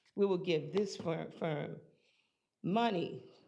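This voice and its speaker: There is audible room echo around a woman with a fairly low pitch. She talks at a very slow pace with lively intonation. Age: 70s. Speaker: public commenter. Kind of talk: public comment. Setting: public board meeting.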